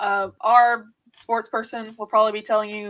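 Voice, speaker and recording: A woman with a Southern accent speaks at a moderate pace and medium pitch, in a very clean recording with a silent background. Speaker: podcast co-host, gaming reporter. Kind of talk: casual panel podcast chat. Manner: halting.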